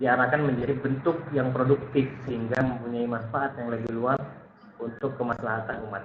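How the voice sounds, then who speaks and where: A soft-spoken man talks at a medium pitch with monotone, flat intonation. Noticeable background noise and audible room echo fill the recording. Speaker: lecturer. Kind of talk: online lecture.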